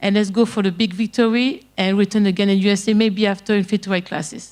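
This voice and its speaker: In a very clean recording with a silent background, a woman with a French accent talks at a fairly quick pace and a medium pitch. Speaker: MMA fighter. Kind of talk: media day interview. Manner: halting.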